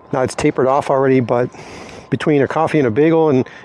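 The recording is dry, with no echo. A man talks with fairly even intonation. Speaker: motorcycle travel vlogger. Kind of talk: casual vlog chat. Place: street.

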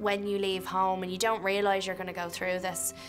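Clear music plays in the background as a woman talks in an Irish accent. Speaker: film actor. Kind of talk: interview answer. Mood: reflective, earnest. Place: hall.

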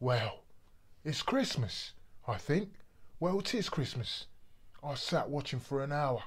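A quiet, somewhat breathy voice speaks at a fairly slow pace. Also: man. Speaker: actor. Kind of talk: dramatic monologue performance. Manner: brooding, confessional storytelling; measured, building quiet menace. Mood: grim, reflective, disgusted. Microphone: phone near.

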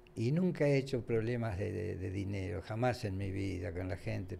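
A man with a somewhat breathy voice speaks at a fairly slow pace and fairly low pitch, with ordinary pitch variation and light background noise. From Argentina. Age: 80s+. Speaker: former radio and TV host; former radio, TV host. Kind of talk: casual interview chat. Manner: halting, repeats words. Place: studio. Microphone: studio mic.

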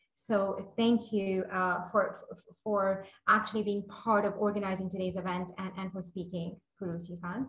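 A woman's intonation stays monotone and flat. Audible room echo surrounds her voice. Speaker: webinar moderator. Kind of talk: moderator opening remarks. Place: office. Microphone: webcam.

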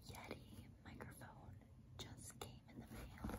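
A woman speaks over noticeable background noise. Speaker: ASMR creator. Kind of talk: ASMR unboxing, soft spoken explanation. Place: home room. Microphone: phone near.

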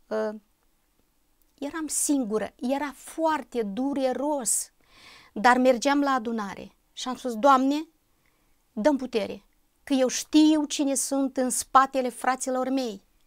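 A woman's high-pitched, very slow speech with fairly even intonation and long, frequent pauses over a quiet background. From Moldova (Bessarabia); Moldova. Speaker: church member giving testimony; interview guest. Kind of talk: testimony. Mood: calm, earnest, reflective. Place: studio. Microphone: lapel.

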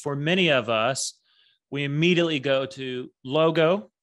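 At a fairly slow pace, a man with an American accent talks at medium pitch with ordinary pitch variation against a quiet background. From Texas. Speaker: branding and marketing strategist; guest. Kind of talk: interview. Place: home room. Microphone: studio mic.

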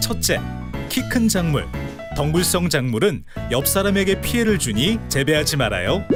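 The pitch swings very widely while music sits in the background. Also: man. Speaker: voice actor, narrator. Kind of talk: promotional narration for an educational video. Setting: recording studio.

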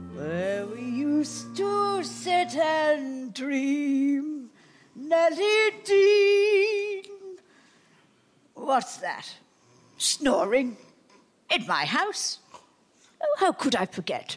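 In a put-on character voice, a woman speaks very slowly at a high pitch, with very wide pitch swings and long, frequent pauses. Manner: menacing, broken speech.

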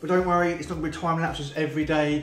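A man with a British accent at a very fast pace, monotone and flat in intonation, with audible room echo and light background noise. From UK. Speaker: vlogger. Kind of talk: casual talk to camera. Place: home room. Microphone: phone near.

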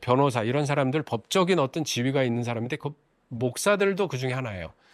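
An unremarkable speaking voice from a man at medium pitch, fairly quick in pace with lively intonation, over a very clean recording and silent background. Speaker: Mennonite pastor. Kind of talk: lecture-style monologue.

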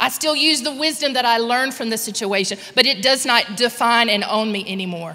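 At a fairly quick pace, a woman talks with a fairly high pitch. Her pitch varies in an ordinary way. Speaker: guest church speaker. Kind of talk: prayer and sermon. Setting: church with live and online audience. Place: church. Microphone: handheld.

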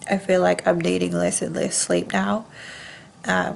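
A woman's voice sounds nasal. She talks at a moderate pace. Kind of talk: casual vlog chat. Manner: congested, nasal voice after nose surgery. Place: home room. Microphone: phone near.

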